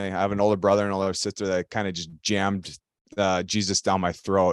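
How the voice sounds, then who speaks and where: A man with an Upper Midwest accent talks at a fairly quick pace, the sound dry and close with no echo. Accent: Upper Midwest American. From Minnesota, Elk River. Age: 30s. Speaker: retired ice hockey player. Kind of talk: casual interview. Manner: halting, many fillers.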